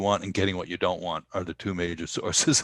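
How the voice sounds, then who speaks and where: In a New York accent, a man talks at a fairly quick pace with fairly even intonation, in a very clean recording with a silent background. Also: dry, close sound with no echo. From US Northeast, New York. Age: 70s. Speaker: Buddhist meditation teacher and musician. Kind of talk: podcast interview. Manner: halting.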